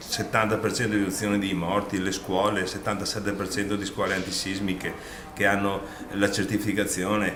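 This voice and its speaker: Amid noticeable background noise and audible room echo, a man with a fairly low voice speaks at a fairly quick pace. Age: 60s. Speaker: outgoing provincial president, politician. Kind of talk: farewell interview statement.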